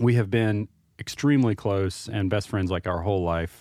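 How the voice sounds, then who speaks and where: Fairly low in pitch with fairly even intonation, a man talks at a fairly quick pace in an ordinary speaking voice. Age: 30s. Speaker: podcast host, IT worker. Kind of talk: casual chat.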